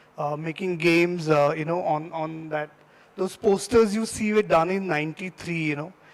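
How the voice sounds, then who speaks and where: Moderate pace and ordinary pitch variation in a Marathi accent. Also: man. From India, Maharashtra (near Nagpur). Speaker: designer giving a guest talk. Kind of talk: talk to students. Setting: stage with audience. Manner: halting, many fillers.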